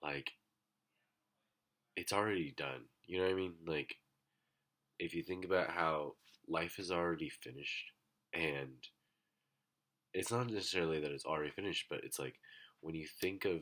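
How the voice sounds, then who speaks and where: This man's voice is very deep and low, with vocal fry, a bright, sharp tone, ordinary pitch variation and long, frequent pauses. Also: moderate pace. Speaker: vlogger. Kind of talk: casual monologue. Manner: hesitant, many fillers.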